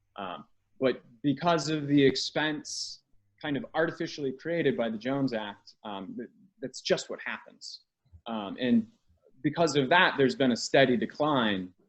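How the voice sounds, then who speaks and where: With an American accent, a man speaks at a moderate pace, his intonation lively and his loudness swinging widely. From United States. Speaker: maritime technology analyst. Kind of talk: interview. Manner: halting, repeats words.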